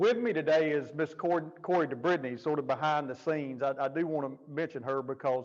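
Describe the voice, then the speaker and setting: A man with a Southern US accent talks at a fairly quick pace with hardly any pauses, using a fairly high pitch and ordinary pitch variation. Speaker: jail administrator and keynote speaker. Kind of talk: keynote speech. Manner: fast when passionate.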